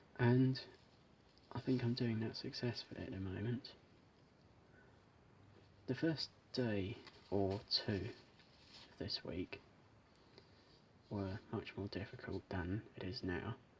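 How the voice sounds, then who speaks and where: A man speaks very slowly and softly, with long, frequent pauses. His fairly low voice is somewhat breathy and shows ordinary pitch variation. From British. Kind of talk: ASMR unboxing chat. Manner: soft-spoken.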